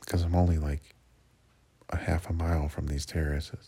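At a moderate pace, a man speaks with a very deep, low pitch and a dark, mellow tone that is somewhat breathy. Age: 40s. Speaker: seasonal park worker vlogging. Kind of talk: personal audio diary. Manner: casual, with fillers and repetitions.

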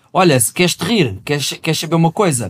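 The voice moves at a fairly quick pace with very wide pitch swings in a very clean recording with a silent background. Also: man. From Portugal, not the north. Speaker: rapper. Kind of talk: casual chat.

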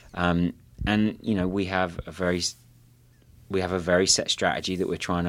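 Speaking fairly quickly with a southern English accent, a man uses a very deep, low pitch on a very clean recording with a silent background. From southeast England (Kent). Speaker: tech company co-founder and CEO. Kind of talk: interview conversation. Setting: company office.

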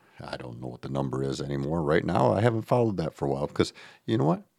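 A man speaks with a creaky vocal fry. The recording is very clean, with a silent background. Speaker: podcast host. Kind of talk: solo motivational monologue. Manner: casual, conversational.

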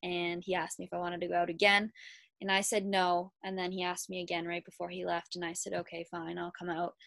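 On a very clean recording with a silent background, a woman speaks fairly low with monotone, flat intonation. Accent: Ontario. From Kitchener, Ontario, Canada. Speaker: college hockey player. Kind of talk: interview.

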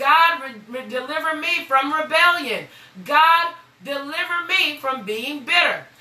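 A woman uses a raised, projected voice at an extremely high pitch, with an animated tone and ordinary pitch variation. She speaks at a fairly slow pace over noticeable background noise. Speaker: pastor and radio host. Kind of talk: sermon.

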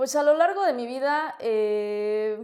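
A woman speaks in a central Mexican accent at a high pitch. Her tone is dark and mellow, with ordinary pitch variation. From Mexico City. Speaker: political candidate. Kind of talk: interview.

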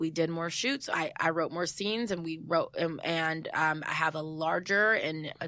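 In a very clean recording with a silent background, a woman with a Californian accent speaks at a moderate pace in a fairly low pitch, her bright, sharp, animated tone carrying ordinary pitch variation. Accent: General American, Californian. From US West Coast, San Jose, California. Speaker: actress, writer and director of a web series. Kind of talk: casual interview. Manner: animated, laughs often.

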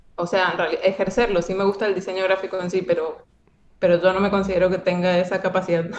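A woman with a Cuyo Argentine accent talks at a very fast pace in a flat, monotone delivery. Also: medium pitch for a woman. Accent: Argentine Spanish (Cuyo, Mendoza). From Argentina, Mendoza. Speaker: animator. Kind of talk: casual interview.

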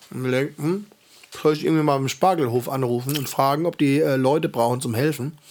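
A man uses a plain, everyday voice at a fairly high pitch. He moves at a fairly quick pace with ordinary pitch variation. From Heidelberg, Baden-Württemberg. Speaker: podcast host. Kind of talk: casual chat.

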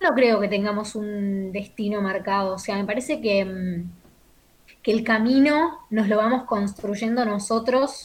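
Speaking fairly slowly, a woman has a somewhat breathy, fairly high voice whose pitch rises and falls in an ordinary way. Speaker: actress and broadcast announcer. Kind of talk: casual interview.

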